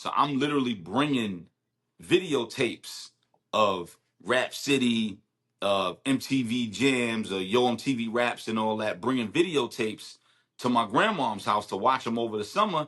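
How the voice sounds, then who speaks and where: Speech in a Brooklyn accent at a moderate pace, with ordinary pitch variation. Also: man, medium pitch for a man. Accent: New York, Brooklyn. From Brooklyn, New York (Bed-Stuy). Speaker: rapper. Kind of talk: casual chat. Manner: animated.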